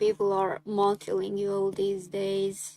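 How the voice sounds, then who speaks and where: A woman with a Hungarian accent speaks at a fairly slow pace. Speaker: artist streamer. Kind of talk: casual chat. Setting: live stream. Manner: casual.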